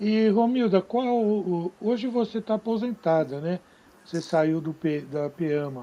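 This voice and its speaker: A man's dark, mellow tone, very slow pace and lively intonation. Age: 70s. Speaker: live stream host. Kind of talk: live interview.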